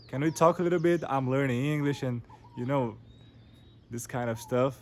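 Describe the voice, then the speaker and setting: With a Portuguese accent, a man is talking. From Brazil. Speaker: English learner vlogger. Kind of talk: casual storytelling monologue. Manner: halting, many repetitions and fillers.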